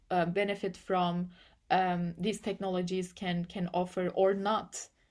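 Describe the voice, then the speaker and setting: A woman talks at a moderate pace with a Turkish accent and a fairly low pitch. Her intonation is monotone and flat, and the recording is very clean with a silent background. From Turkey. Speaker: AI policy and ethics researcher. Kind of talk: interview. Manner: halting, with many repetitions and fillers.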